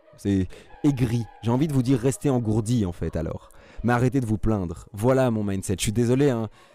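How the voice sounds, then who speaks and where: At a moderate pace, a man talks in a dark, mellow tone with medium pitch and ordinary pitch variation. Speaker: mental coach, podcast host. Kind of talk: solo motivational podcast monologue. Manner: animated, emotional.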